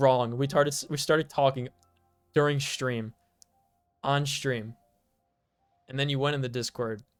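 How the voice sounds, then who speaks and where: Over music in the background, a man talks at a moderate pace in a medium pitch with ordinary pitch variation. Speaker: video game streamer. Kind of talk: casual chat while live streaming a game. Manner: halting, many repeated words.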